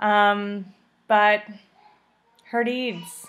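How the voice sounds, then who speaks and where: Her pitch is medium for a woman. She talks with an American accent. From Illinois. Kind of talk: video greeting to family.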